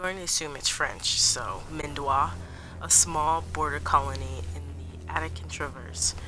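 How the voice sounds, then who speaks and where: Quiet and at a fairly slow pace, a woman speaks with audible room echo around her. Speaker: gaming streamer. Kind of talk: casual gameplay commentary. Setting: home, early morning. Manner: lowered voice, quieter.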